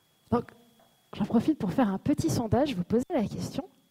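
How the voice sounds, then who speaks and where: Somewhat breathy, the voice has a dark, mellow tone and a dry, close sound with no echo. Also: woman. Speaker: conference speaker. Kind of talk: conference talk. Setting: stage with audience.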